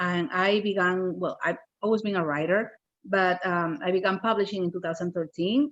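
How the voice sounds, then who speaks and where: The speaker has a Spanish accent and ordinary pitch variation. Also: woman, medium pitch for a woman, moderate pace. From Peru. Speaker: children's book author. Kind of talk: casual chat.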